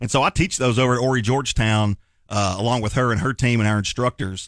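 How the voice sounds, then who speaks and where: In a very clean recording with a silent background and a dry, close sound with no echo, a man speaks with a Southern accent. His pace is fairly quick, his pitch is medium, and his pitch variation is ordinary. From Tennessee, Knoxville. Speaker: lawyer. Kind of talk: radio interview. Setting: radio studio. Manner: casual, filler-heavy.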